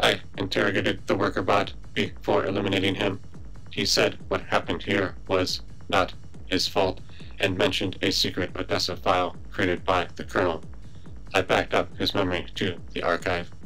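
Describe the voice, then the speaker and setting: A man puts on a character voice with a very deep, low pitch and a deadpan tone at a moderate pace. Clear music plays in the background. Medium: machinima. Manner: deadpan, precise, formal.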